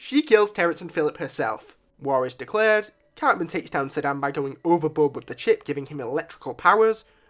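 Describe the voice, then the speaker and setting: Music sounds behind the voice. Delivery is rather quick. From Britain. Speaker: YouTube reviewer. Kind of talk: video review.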